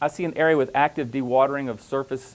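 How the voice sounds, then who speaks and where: A man speaks with a Louisiana accent at a fairly high pitch. His intonation stays fairly even. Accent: Southern US (Louisiana). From US South, Louisiana. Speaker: professor. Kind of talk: conference presentation.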